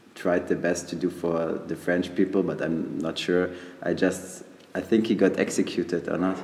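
In a German accent, a man speaks with a very deep, low pitch, a dark, mellow tone and monotone, flat intonation. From Germany, Munich. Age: 20s. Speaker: exchange student. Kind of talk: interview. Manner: halting.

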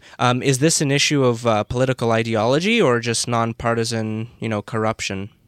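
In a dry, close sound with no echo, a man with an ordinary speaking voice talks at a medium pitch, a fairly quick pace and fairly even intonation. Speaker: podcast host. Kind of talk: panel discussion. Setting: studio.

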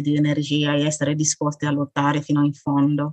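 A woman's very deep, low voice at a moderate pace, dry and close with no echo. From Burkina Faso. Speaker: author and sickle cell patient. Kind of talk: interview testimony.

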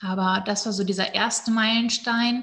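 A woman at a medium pitch speaks fairly slowly in a monotone, flat intonation. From northern Germany, Hannover area. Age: 30s. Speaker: breathwork and women's coach. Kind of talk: personal testimony in casual interview.

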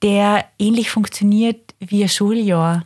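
A woman speaks at a fairly slow pace with a fairly high pitch. Her voice is somewhat breathy, with fairly even intonation. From East Tyrol, Austria (Dölsach). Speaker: head of adult education in a diocese. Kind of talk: casual interview.

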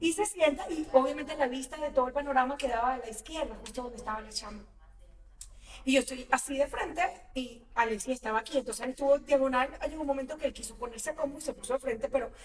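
A woman's high voice at a very fast pace, with big swings in loudness. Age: 40s. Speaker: actress. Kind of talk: casual chat.

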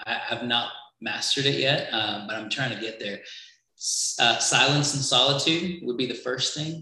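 A man's voice at medium pitch, ordinary pitch variation, moderate pace, and audible room echo. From Trinidad. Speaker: creative agency worker for churches. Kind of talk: casual interview chat.

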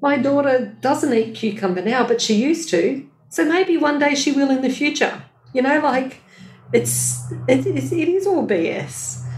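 The speaker has an Australian accent and a fairly slow pace. Loudness stays very even, and the room echo is audible. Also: woman. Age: 50s. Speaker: health educator and business owner. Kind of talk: casual chat.

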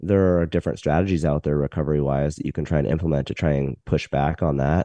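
An American accent, fairly even intonation and a dark, mellow tone at a very fast pace. The sound is dry and close with no echo over a quiet background. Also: man. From Montana, US. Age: 40s. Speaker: physical therapist. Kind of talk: expert Q&A answers. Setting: video call.

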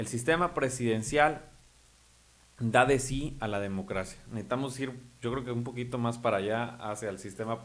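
A man's medium-pitched voice with ordinary pitch variation, a moderate pace and audible room echo. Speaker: local politician. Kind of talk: political interview.

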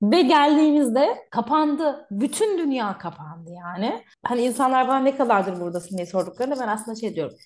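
Talking at a fairly quick clip with hardly any pauses, a woman swings widely through a high pitch. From Turkey. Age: 30s. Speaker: migration consultant. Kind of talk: casual interview chat.

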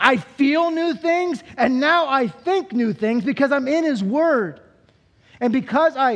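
A man talks at a fairly slow pace. His tone is animated and playful. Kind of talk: sermon. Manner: animated, call-and-response, pushes the congregation to answer aloud; repeats phrases for emphasis, playful and humorous.

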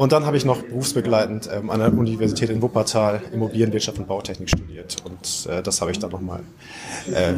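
Against noticeable background noise, a man with a fairly low pitch and ordinary pitch variation speaks at a fairly quick pace. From northern Germany, Oldenburg. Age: 30s. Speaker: real estate developer and investor. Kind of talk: interview.

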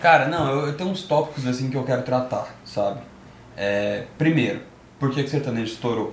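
A man's medium-pitched voice at a moderate pace, with ordinary pitch variation and noticeable background noise. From Goiânia, Brazil. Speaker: music podcast host. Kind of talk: casual chat. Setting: live stream.

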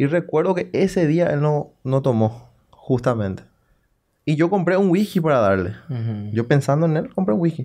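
A man's dark, mellow voice with very wide pitch swings, set against a quiet background. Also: fairly high pitch for a man, moderate pace. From Paraguay, Salto del Guairá. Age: 30s. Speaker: local politician. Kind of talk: casual interview.

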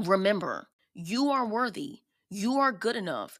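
A woman's animated, upbeat voice at a moderate pace with ordinary pitch variation, on a very clean recording with a silent background. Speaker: podcast host. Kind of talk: solo podcast monologue, self-improvement talk. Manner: animated, chatty, upbeat.

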